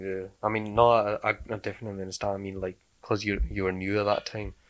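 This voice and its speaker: In a Glasgow accent, a man talks very fast at a fairly low pitch with monotone, flat intonation. The recording is very clean, and the background is silent. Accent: Glasgow Scottish. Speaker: podcast host. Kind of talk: casual chat.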